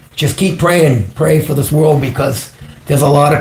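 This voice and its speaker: A fairly high-pitched man's voice at a moderate pace, with noticeable background noise. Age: 60s. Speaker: psychic medium. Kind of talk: live stream call-in chat.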